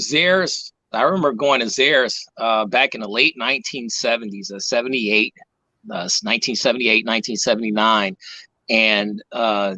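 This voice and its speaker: A man with an American accent, medium pitch, a bright, sharp tone, lively intonation and a moderate pace. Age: 50s. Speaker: toy museum curator and collector. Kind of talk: casual chat.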